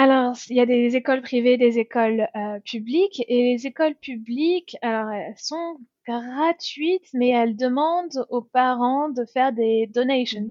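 Speaking at a fairly slow pace with hardly any pauses, a woman uses a high pitch and ordinary pitch variation. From France. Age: 30s. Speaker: expat mother. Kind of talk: interview testimony.

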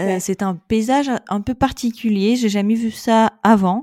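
Spoken with a Russian accent and ordinary pitch variation, the voice comes through in a very clean recording with a silent background and a dry, close sound with no echo. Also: woman. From Russia, Saint Petersburg. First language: Russian (speaking French). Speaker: expat mother. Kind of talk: casual interview.

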